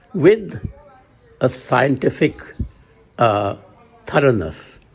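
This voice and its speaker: Amid noticeable background noise, a man with a medium pitch makes very wide pitch swings. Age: 80s+. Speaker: retired journalist. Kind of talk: testimony. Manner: halting, with frequent fillers.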